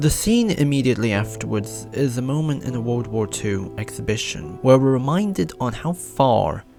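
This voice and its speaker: Music plays behind a man's voice. He talks at a moderate pace and a medium pitch. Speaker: video essayist. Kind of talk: video essay narration. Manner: formal, trying to sound serious.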